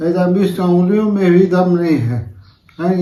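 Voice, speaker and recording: His dark, mellow voice sits at a high pitch as the man speaks at a fairly slow pace with fairly even intonation. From Ambikapur, Chhattisgarh, India. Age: 50s. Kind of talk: testimonial to camera.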